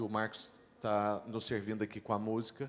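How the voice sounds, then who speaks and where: An unremarkable speaking voice belongs to this man, who talks at a moderate pace with a fairly low pitch. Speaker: pastor. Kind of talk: panel discussion.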